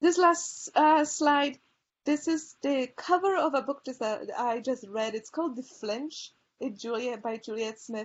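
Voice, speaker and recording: A woman with a high pitch speaks at a fairly slow pace, her pitch swinging very widely. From Poland. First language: Polish. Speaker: librarian. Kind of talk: presentation. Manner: hesitant fillers (um, uh).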